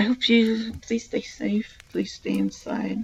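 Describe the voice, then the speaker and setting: A woman talks fairly slowly while noticeable background noise carries on around her. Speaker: streamer reading stories aloud. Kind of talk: reading aloud; casual sign-off to live stream viewers. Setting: live stream.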